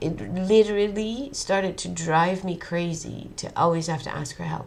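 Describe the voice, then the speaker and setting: Heard with audible room echo, a woman with a Dutch accent and vocal fry speaks at a fairly slow pace, her fairly low pitch showing ordinary pitch variation. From Netherlands. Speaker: vlogger. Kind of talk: personal monologue. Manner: halting.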